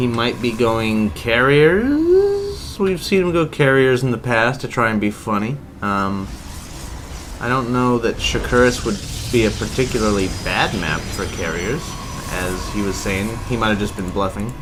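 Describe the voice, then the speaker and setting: A man at medium pitch, lively in intonation and fairly slow in pace, with audible room echo and noticeable background noise. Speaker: esports caster. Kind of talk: live commentary. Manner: casual, filler-heavy.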